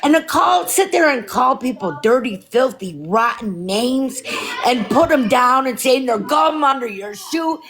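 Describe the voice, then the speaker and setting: A loud, high-pitched woman with a New York accent, very wide pitch swings and a fairly slow pace, over noticeable background noise. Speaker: viewer calling in. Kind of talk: heated debate.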